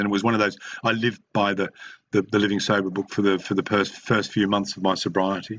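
A man's very fast speech in an Australian accent, fairly low in pitch, with a bright, sharp tone. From Queensland, Australia (Brisbane). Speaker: recovery meeting speaker sharing his story. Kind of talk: recovery share (testimony). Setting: video call (online meeting). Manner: halting, many fillers and repetitions.

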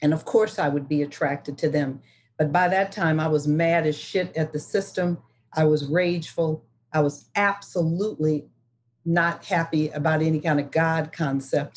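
With a very deep, low pitch, a woman speaks in a somewhat breathy voice at a moderate pace and with fairly even intonation. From US Midwest, Detroit. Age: 60s. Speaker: recovering alcoholic speaker. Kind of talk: testimony.

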